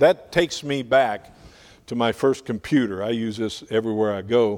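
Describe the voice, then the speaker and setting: Recorded very cleanly over a silent background, a man with a plain, everyday voice talks at a moderate pace with ordinary pitch variation. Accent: American. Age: 60s. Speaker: Bible printing ministry missionary. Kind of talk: sermon. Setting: church.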